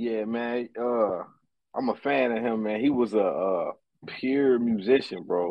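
A man talks in an unremarkable speaking voice with an American accent, pitched in the medium range. His intonation stays fairly even and his pace is fairly slow. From Ohio. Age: 30s. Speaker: music producer. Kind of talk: casual chat.

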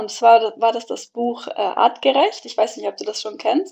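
With a dark, mellow tone, a woman talks at a fairly high pitch. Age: 30s. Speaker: family coach in training and mother. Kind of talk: podcast interview.

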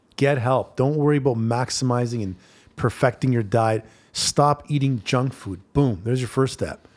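An unremarkable speaking voice from a man, medium in pitch with ordinary variation and a moderate pace, in a very clean recording with a silent background. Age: 40s. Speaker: fitness trainer. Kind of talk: casual chat.

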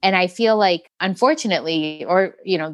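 A woman speaks at a moderate pace in a fairly low pitch, with ordinary pitch variation. She has a plain, everyday voice. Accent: American. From Metro Detroit, Michigan. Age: 40s. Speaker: muralist and children's book artist. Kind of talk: interview conversation.

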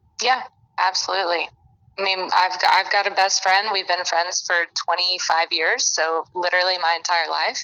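With an American accent, a woman speaks at medium pitch and a moderate pace. Her intonation is fairly even and her loudness very even. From Alabama. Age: 20s. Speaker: podcast guest. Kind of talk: casual chat.

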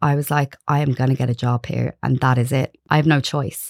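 The voice has an Irish accent and monotone, flat intonation at a moderate pace. The sound is dry and close, with no echo. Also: woman. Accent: Irish, non-Galway. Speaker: marketing manager. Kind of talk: casual interview chat.

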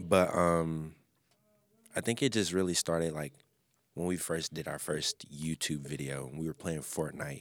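A very deep, low-pitched man with an American accent, fairly slow pace, fairly even intonation, and long, frequent pauses on a very clean recording with a silent background. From Memphis, Tennessee, US South. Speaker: music producer and podcaster. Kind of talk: casual chat.

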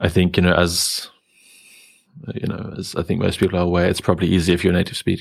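A man with a very deep, low pitch and monotone, flat intonation, talking at a very fast pace with long, frequent pauses. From Germany. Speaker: podcast host. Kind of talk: casual chat.

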